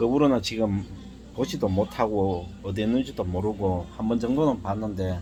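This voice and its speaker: Somewhat breathy and fairly low, a man's dark, mellow voice moves at a moderate pace with ordinary pitch variation. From South Korea, Daegu. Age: 60s. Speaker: life-story vlogger. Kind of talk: personal testimony. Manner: halting, many fillers.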